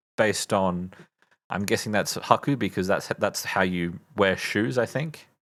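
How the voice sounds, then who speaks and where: In an Australian accent, a man speaks at a fairly slow pace with a fairly low pitch and ordinary pitch variation. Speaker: streamer learning Japanese. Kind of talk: study livestream. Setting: livestream. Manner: halting.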